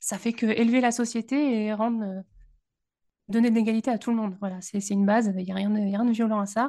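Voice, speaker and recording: A woman's fairly high, dark, mellow voice at a fairly quick pace, with monotone, flat intonation, against a quiet background. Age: 30s. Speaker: university librarian and podcaster. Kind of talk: casual chat.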